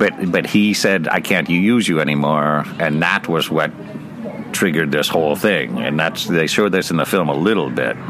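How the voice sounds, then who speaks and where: A man with a very deep, low pitch, ordinary pitch variation and very even loudness, at a moderate pace, over noticeable background noise. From US West Coast, Bakersfield, California. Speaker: university professor. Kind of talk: casual interview.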